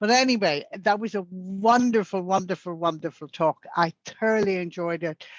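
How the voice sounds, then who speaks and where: A woman with an Irish accent at medium pitch, ordinary pitch variation and a moderate pace, quiet background. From Northern Ireland. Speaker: club member. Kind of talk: q&a discussion.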